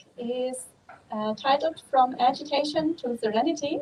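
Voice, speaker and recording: A woman speaks with a German accent at a high pitch. Her pitch varies in an ordinary way. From Germany. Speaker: Buddhist nun. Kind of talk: dharma talk. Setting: outdoors.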